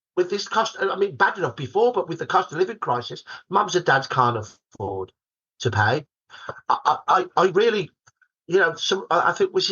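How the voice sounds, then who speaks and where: A man speaks with a Birmingham accent, his pitch swinging very widely. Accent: broad Birmingham. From Birmingham, England. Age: 60s. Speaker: historian. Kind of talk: podcast interview. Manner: animated.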